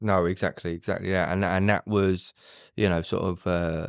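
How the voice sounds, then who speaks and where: A man with a very deep, low pitch speaks at a moderate pace with fairly even intonation. The recording is very clean, with a silent background and a dry, close sound with no echo. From East London, England. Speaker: recovering addict guest. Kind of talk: podcast interview, personal story. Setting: studio. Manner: halting, many fillers.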